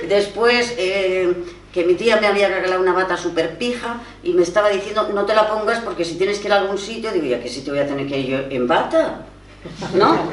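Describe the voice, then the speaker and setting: A woman talks at a fairly quick pace with lively intonation. Noticeable background noise and audible room echo fill the recording. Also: medium pitch for a woman. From Spain, Barcelona. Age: 60s. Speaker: writer and feminist activist. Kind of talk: personal testimony at a panel talk. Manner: animated storytelling.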